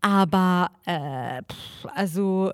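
A woman with a non-native accent is heard in a very clean recording with a silent background. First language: not German (speaking German). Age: 20s. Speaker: podcast co-host. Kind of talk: casual chat.

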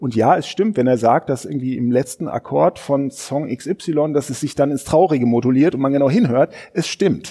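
This man talks with hardly any pauses in a dark, mellow tone, his pitch fairly high with ordinary variation. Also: moderate pace. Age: 40s. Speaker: newspaper culture editor and podcast host. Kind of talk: casual book discussion. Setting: studio at a literature house.

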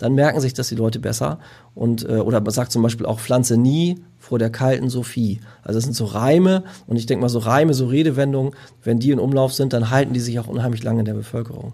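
A man's very fast speech, medium in pitch, dark and mellow, with ordinary pitch variation. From northern Germany, Lüneburg Heath. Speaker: professional gardener. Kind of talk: casual chat.

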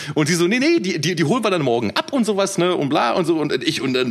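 At a very fast pace, a man with a fairly high pitch swings his voice very widely over noticeable background noise. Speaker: rapper and podcast co-host. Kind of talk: casual chat.

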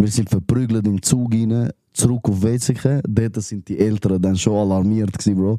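This man has a fairly low, dark and mellow voice with a Zurich accent. His pace is fairly slow and his intonation fairly even. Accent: Swiss German, Zurich. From Switzerland, Wetzikon area (Zurich Oberland). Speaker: rapper. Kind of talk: casual chat.

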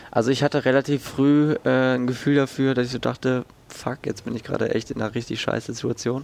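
Against noticeable background noise, a man talks fairly quickly in a flat monotone. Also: medium pitch for a man. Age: 20s. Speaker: student and podcast weather presenter. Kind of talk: interview testimony. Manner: halting, many fillers.

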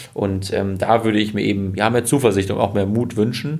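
A man speaks with a fairly low pitch. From Germany, Münsterland (Westphalia). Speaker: fintech founder. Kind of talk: interview. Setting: company office. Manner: hesitant with many filler sounds.

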